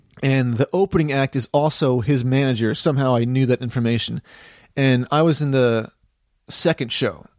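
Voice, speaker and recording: An ordinary speaking voice from a man with an American accent, medium pitch with ordinary pitch variation, a moderate pace, very even loudness, and a dry, close sound with no echo over a quiet background. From US South. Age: 30s. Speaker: musician. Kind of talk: casual chat.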